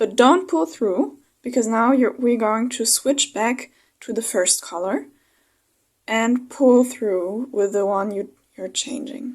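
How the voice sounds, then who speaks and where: A woman with a non-native accent speaks very slowly, her fairly high voice rising and falling in a lively way. The recording is very clean, with a silent background. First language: not English. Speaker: crochet tutorial creator. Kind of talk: tutorial. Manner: slightly halting, self-correcting.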